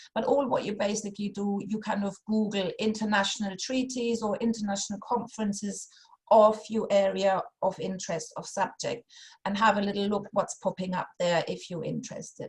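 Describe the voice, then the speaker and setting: A woman speaks at a fairly quick pace with a German accent and a medium pitch. Her voice is somewhat breathy, and her intonation stays fairly even. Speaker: funding consultant. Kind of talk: workshop presentation. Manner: halting, many fillers.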